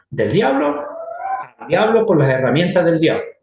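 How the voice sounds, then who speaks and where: Audible room echo hangs around this recording. The man's pitch makes very wide swings. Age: 60s. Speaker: church teacher. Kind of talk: lecture.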